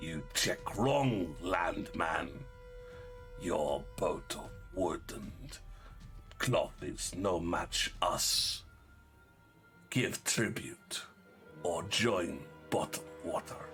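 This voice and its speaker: A put-on, guttural character voice speaks at a very slow pace with long, frequent pauses. Clear music plays in the background. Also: man. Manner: threatening.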